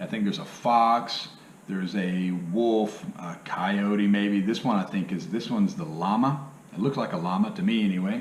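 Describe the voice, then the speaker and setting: In audible room echo, a man with a fairly low voice speaks at a moderate pace with ordinary pitch variation. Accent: Southern US. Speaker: part-time reseller, YouTuber. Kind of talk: casual video tutorial. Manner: casual, filler-heavy.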